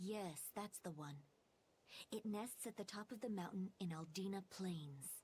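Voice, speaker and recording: At a moderate pace, the speaker delivers everything in a put-on character voice. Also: female-sounding voice, medium pitch for a woman. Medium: video game.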